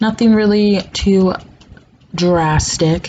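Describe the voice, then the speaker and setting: A voice with ordinary pitch variation, heard over noticeable background noise. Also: woman. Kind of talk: makeup tutorial voiceover. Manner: casual, chatty.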